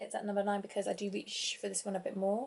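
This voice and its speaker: The speaker is soft-spoken. The voice has a British accent. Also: woman. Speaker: beauty vlogger. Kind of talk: product review vlog. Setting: at home, kids asleep in another room. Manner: casual, meandering.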